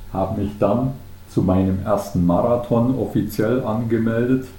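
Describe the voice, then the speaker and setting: Somewhat breathy and dark, mellow in tone, a man speaks with fairly even intonation while the room echo is audible. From Bavarian Swabia, Germany (Unterallgäu near Kaufbeuren). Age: 50s. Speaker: ultrarunner, retiree. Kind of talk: podcast interview.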